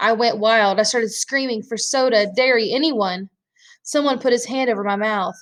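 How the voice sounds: Against a quiet background, the voice reads naturally.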